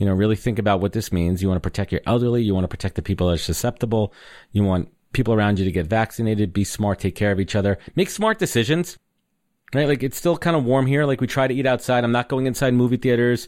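Very fast speech with a New York accent, lively intonation and very even loudness, on a very clean recording with a silent background. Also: man, medium pitch for a man. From New York (Brooklyn, Long Island suburbs). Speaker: podcaster and marketer. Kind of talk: interview conversation.

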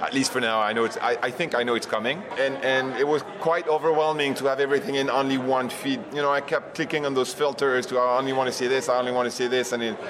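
A man's very fast, medium-pitched speech with a French accent, fairly even intonation, very even loudness and hardly any pauses, against noticeable background noise. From France. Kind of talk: interview. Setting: conference venue.

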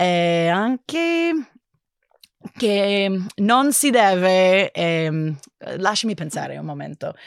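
Speaking very slowly with long, frequent pauses, a woman with an English accent uses lively intonation. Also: medium pitch for a woman. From United States. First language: English (speaking Italian). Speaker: linguist, Italian learner. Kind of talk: casual interview. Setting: studio. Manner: halting.

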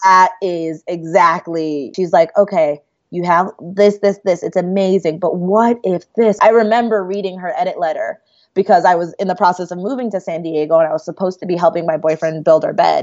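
A woman talks in a normal speaking voice at a medium pitch. Her pace is fairly quick and her intonation fairly even. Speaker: writer. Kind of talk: casual chat.

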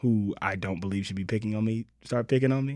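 Fairly low male voice, an unremarkable speaking voice, ordinary pitch variation. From Los Angeles, born in Mississippi. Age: 30s. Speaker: writer and comedic performer. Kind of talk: casual chat.

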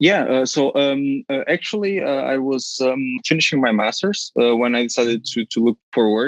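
Speaking with a Portuguese accent at a fairly slow pace with hardly any pauses, a man uses a medium pitch and ordinary pitch variation in a dry, close sound with no echo. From Portugal, Porto. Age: 20s. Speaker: finance professional, podcast guest. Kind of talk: interview. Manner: repeats words, halting.

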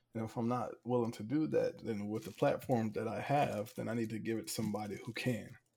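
With an American accent, a man speaks at a fairly quick pace with hardly any pauses. His medium-pitched voice has a dark, mellow tone and ordinary pitch variation. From Hampton, Virginia. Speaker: former college quarterback. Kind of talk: casual interview chat. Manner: animated.

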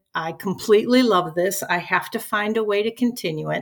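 A woman with an American accent and an ordinary speaking voice, fairly high in pitch, with ordinary pitch variation and a moderate pace. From US Midwest, Chicago. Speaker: retired teacher. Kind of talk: casual interview.

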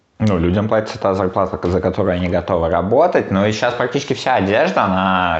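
A man speaks at a fairly quick pace in a very deep, low pitch. Noticeable background noise runs underneath. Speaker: podcast co-host. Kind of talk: casual chat. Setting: recorded in an apartment.

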